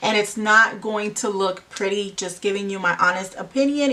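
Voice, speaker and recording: Over noticeable background noise, a woman with a Spanish accent speaks at a moderate pace. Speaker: beauty vlogger. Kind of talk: makeup tutorial. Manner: casual, hesitant with fillers.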